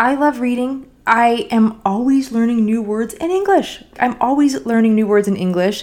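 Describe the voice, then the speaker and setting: Her fairly high voice moves with lively intonation at a moderate pace. The woman hardly pauses. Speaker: podcast host. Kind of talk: solo podcast monologue.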